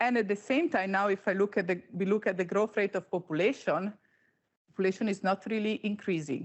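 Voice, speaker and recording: Speaking at a fairly quick pace in an Italian accent, the voice shows ordinary pitch variation and very even loudness. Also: woman, medium pitch for a woman. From Italy. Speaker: panel moderator, insurance flood specialist. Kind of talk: conference presentation. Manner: hesitant, many fillers.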